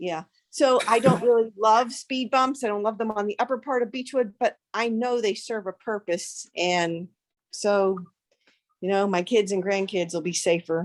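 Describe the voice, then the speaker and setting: Speaking at a moderate pace, a woman with an American accent has a plain, everyday voice with a fairly high pitch and ordinary pitch variation. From Pittsburgh, Pennsylvania. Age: 60s. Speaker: community member. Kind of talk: public comment at community meeting.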